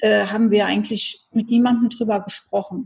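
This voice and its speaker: The woman's voice has a fairly high pitch and a dark, mellow tone. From Hesse, Germany (Wiesbaden). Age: 40s. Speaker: speaker trainer and parent. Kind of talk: interview, personal story.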